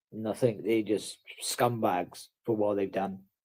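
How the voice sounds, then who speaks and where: A man with a South Wales accent talks in a dark, mellow tone with fairly even intonation. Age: 30s. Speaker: livestreamer. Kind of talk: casual chat.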